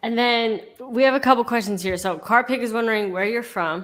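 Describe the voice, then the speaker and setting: This woman has an ordinary speaking voice with an American accent, fairly high in pitch. She talks at a moderate pace with ordinary pitch variation. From United States. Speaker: stream host. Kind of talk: interview. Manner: casual.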